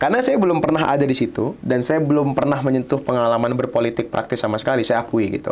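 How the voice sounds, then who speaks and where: A man speaks very fast at a medium pitch, with ordinary pitch variation and very even loudness. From Indonesia, West Kalimantan (Pontianak); West Kalimantan, Indonesia. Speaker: student union leader; guest. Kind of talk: podcast interview. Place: studio.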